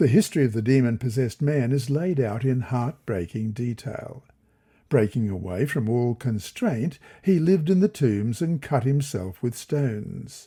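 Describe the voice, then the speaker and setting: A man with an Australian accent, dark, mellow and somewhat breathy, at a moderate pace on a very clean recording with a silent background. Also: medium pitch for a man. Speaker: Bible study reader. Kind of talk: Bible lesson reading.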